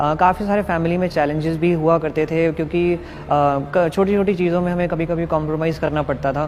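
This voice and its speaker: A man with a high pitch and monotone, flat intonation at a moderate pace, with hardly any pauses and noticeable background noise. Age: 21. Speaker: network marketing leader. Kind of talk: testimony.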